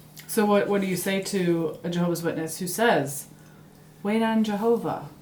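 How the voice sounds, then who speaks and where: A normal speaking voice from a woman, medium in pitch, at a moderate pace and with ordinary pitch variation. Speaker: host of a YouTube channel interviewing her mother.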